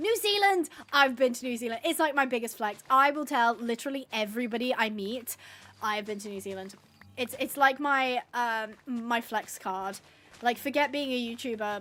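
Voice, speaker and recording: A woman speaks at a high pitch in an English accent, her tone bright and sharp. Her pace is moderate and her pitch varies in an ordinary way. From England. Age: 20s. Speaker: gaming livestreamer. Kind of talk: casual chat. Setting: livestream. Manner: animated.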